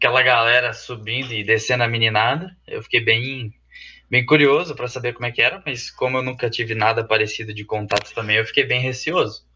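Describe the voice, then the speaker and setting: A man's bright, sharp voice at medium pitch and moderate pace, against a quiet background. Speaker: university cheerleading team member. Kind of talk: casual chat.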